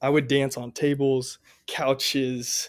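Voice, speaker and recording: A man with a Midwestern American accent, fairly high in pitch and fairly slow in pace, on a very clean recording with a silent background. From US Midwest, Columbia, Missouri. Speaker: college student. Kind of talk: testimony.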